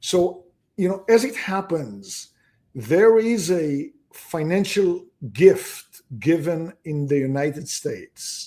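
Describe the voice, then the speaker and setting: At a very slow pace, a man with a high pitch and a slight non-native accent speaks in a dark, mellow tone with lively intonation. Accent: slight foreign. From abroad. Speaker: real estate investment executive. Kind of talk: interview.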